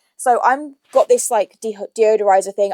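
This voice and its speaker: In an English accent, a woman talks at a fairly quick pace with very wide pitch swings, the sound dry and close with no echo. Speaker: YouTuber. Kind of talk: shopping haul vlog. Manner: casual, chatty.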